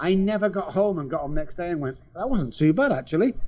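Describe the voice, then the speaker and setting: This man speaks with a Mancunian accent. His pitch is fairly high. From England, Manchester. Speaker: addiction specialist. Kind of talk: testimony.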